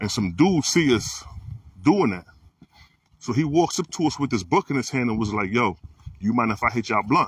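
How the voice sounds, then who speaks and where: With an animated tone and very wide pitch swings, a man talks at a fairly quick pace, broken by long, frequent pauses. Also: medium pitch for a man. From Trinidad. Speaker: spiritual livestream host. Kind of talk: casual livestream talk. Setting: live video stream. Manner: animated storytelling.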